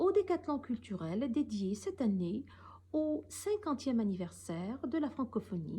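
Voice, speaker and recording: At a fairly slow pace, a woman speaks in a somewhat breathy, dark, mellow voice with a fairly high pitch and very wide pitch swings. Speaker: professor. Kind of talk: recorded talk. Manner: formal; some hesitations.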